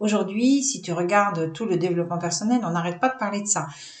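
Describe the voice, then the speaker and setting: Against audible room echo, a woman talks at a fairly high pitch with lively intonation. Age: 60s. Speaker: holistic business coach. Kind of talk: vlog presentation. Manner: hesitant, many fillers.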